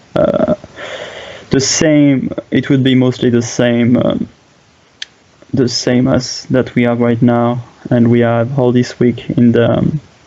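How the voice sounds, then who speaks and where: A man with a medium pitch speaks at a very slow pace, leaving long, frequent pauses. His loudness stays very even and his intonation fairly even, with noticeable background noise behind him. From France. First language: French. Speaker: game streamer and commentator. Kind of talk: live game commentary. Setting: live stream. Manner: halting, many fillers.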